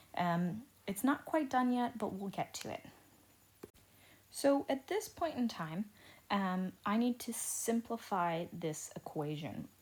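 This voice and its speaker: Somewhat breathy and fairly high-pitched, a woman speaks at a very slow pace with very wide pitch swings and long, frequent pauses. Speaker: teacher. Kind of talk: lecture. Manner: slow, deliberate.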